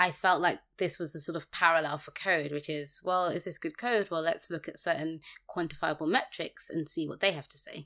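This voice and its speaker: A woman with a fairly low voice and a bright, sharp tone talks at a fairly quick pace with big swings in loudness, in a very clean recording with a silent background. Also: fairly even intonation. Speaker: podcast co-host, software developer. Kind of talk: casual chat about a programming book.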